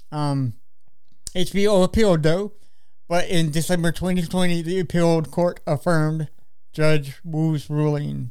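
A man's fairly high voice at a fairly slow pace, with fairly even intonation and long, frequent pauses. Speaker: podcast co-host. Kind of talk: casual chat. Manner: halting.

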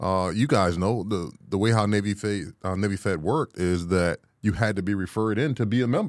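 In a very clean recording with a silent background, a man with a plain, everyday voice speaks at a fairly low pitch with lively intonation. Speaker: real estate agent, veteran guest. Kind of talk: casual podcast discussion.

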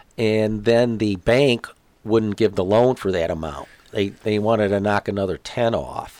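A man talks in a normal speaking voice. His pitch is fairly low, with ordinary pitch variation. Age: 60s. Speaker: retiree-age father of host's friend. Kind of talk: casual interview.

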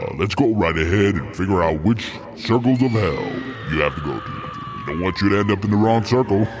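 Fairly quick speech with lively intonation plays over noticeable background noise. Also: man, fairly low pitch for a man. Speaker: voice actor doing an impression. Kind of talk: comedy skit impression.

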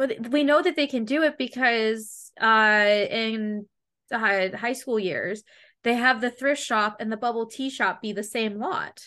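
A woman's bright, sharp, fairly high voice with a Canadian accent, ordinary pitch variation and a fairly slow pace. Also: quiet background. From Canada, Ontario border town. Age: 20s. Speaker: YouTube gaming podcast host. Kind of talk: casual chat interview. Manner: animated.

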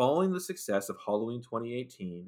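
A man at medium pitch talks in an ordinary speaking voice with lively intonation. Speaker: podcast co-host, guest. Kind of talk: casual chat, movie review podcast.

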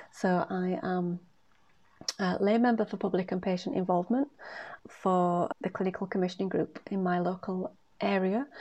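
A woman with a breathy voice speaks at a moderate pace and a medium pitch. Her pitch varies in an ordinary way, and she leaves long, frequent pauses. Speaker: podcast host and career coach. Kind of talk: solo podcast monologue.

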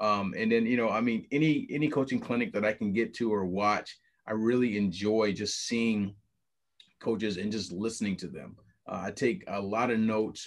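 Medium pitch from a man, ordinary pitch variation, moderate pace and a quiet background. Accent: Midwestern American. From Ohio, Toledo east side. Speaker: basketball coach. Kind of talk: interview. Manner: halting.

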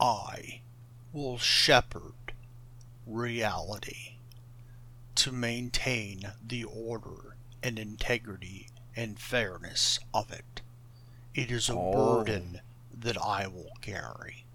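Very slowly, a man speaks in a put-on character voice at a medium pitch. Long, frequent pauses break up his lines. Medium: actual play. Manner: calm, grandiose, condescending.

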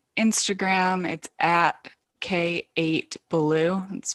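The woman speaks at a very slow pace in a dry, close sound with no echo. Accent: American. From Michigan. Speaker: poet and writer. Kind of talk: casual interview chat. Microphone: poor internet connection, cuts out.

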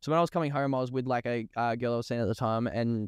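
At a very fast pace, a man with an Australian accent talks at medium pitch with fairly even intonation. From Australia, Melbourne eastern suburbs. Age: 30s. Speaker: rapper. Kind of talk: casual chat.

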